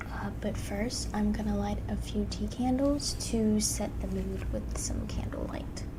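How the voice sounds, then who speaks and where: Soft-spoken and at a fairly slow pace, the voice runs with hardly any pauses over noticeable background noise. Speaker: ASMR creator. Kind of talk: casual talk to camera.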